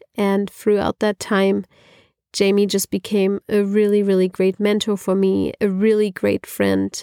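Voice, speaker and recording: The recording is very clean, with a silent background and a dry, close sound with no echo. A woman with a German accent speaks at medium pitch and a moderate pace. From Germany. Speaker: podcast co-host. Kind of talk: casual chat.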